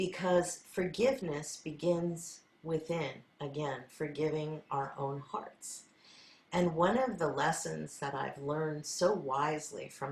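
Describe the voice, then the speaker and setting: Somewhat breathy and very slow, a woman speaks at a very deep, low pitch with ordinary pitch variation. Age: 60s. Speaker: sound healer. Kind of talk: spiritual talk.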